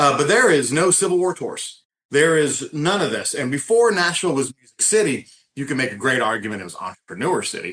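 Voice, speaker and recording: A man speaks with a Southern accent at a fairly quick pace. His pitch sits fairly high and swings very widely. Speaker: tour company founder. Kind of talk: podcast interview.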